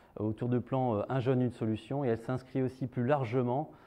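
With fairly even intonation, the man keeps to a moderate pace. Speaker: event host. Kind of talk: formal event opening speech. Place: hall. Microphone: lapel.

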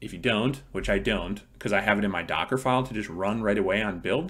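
A man speaks at a fairly quick pace. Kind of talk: tutorial. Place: home room.

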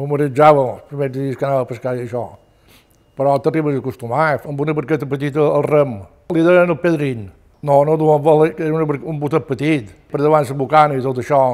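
A man with a Mallorcan accent at a very fast pace, with fairly even intonation and a quiet background. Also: fairly high pitch for a man. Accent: Mallorcan Catalan. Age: 80s+. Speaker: retired fisherman. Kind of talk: oral history testimony. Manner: halting. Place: home room.

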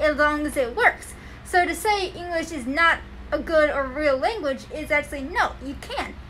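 Against noticeable background noise, a woman with a high pitch speaks in a raised, projected voice. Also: ordinary pitch variation, moderate pace. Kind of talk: casual conversation.

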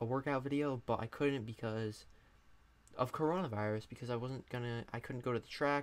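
A man speaks fairly briskly, his pitch moving in a normal way. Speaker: youtuber. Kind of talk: casual vlog chat. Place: home room. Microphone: studio mic.

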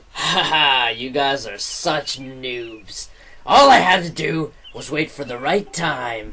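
This is a put-on character voice with a low-to-middle pitch. It moves at a fairly slow pace. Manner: gloating, grandiose.

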